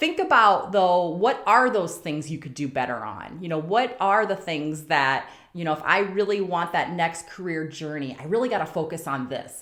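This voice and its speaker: A woman talks at a moderate pace with hardly any pauses. She has a normal speaking voice, fairly low in pitch, with lively intonation. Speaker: nurse turned CEO, career podcast host. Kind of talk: career advice monologue. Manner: casual, filler-heavy.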